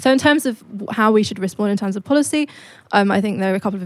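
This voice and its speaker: A woman with a British accent at a very fast pace. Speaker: think tank economist. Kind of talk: live panel discussion. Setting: stage with audience.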